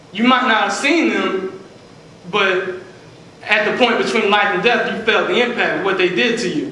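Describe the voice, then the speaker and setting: This man has an American accent and a high pitch for a man. His voice is raised and projected over noticeable background noise. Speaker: preacher. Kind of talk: sermon.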